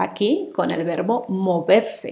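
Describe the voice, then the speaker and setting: A woman's medium-pitched, dark, mellow voice with lively intonation and a Spanish accent. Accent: Peninsular Spanish. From Spain. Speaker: Spanish teacher. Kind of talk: language lesson. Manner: slow, clear.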